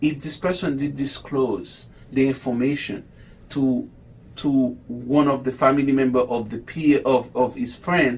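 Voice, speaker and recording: A man's fairly high, somewhat breathy voice moves at a fairly slow pace. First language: not English. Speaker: low vision educator. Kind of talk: online talk. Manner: halting.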